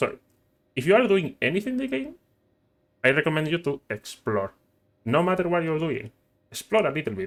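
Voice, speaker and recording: Speaking with a non-native accent, a man uses a fairly high pitch and very wide pitch swings at a fairly quick pace, broken by long, frequent pauses. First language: not English. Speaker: gaming youtuber. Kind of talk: gameplay tutorial. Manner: halting.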